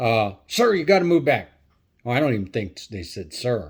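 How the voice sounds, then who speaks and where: A man's pitch swings very widely while his speed stays moderate. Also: very clean recording, silent background. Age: 70s. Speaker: YouTuber, retired trucker. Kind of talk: personal storytelling vlog. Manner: halting, many fillers.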